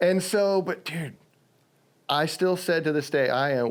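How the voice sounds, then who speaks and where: On a very clean recording with a silent background, a man talks at a fairly slow pace with ordinary pitch variation. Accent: slight Southern. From Virginia, US. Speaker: stuntman. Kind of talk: podcast interview. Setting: home studio basement. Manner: animated storytelling.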